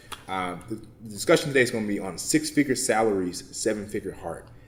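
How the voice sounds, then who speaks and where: A man with an American accent talks at a very fast pace and ordinary pitch variation. The room echo is audible. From Texas, Baytown near Houston. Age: 20s. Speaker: motivational speaker and nonprofit founder. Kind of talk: conference talk. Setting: conference session with audience. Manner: casual, conversational.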